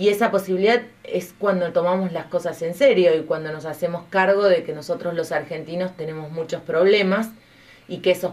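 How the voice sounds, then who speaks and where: A woman's fairly low-pitched voice at a fairly quick pace. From Argentina. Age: 40s. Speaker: politician. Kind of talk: interview. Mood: earnest, persuasive. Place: studio. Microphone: studio mic.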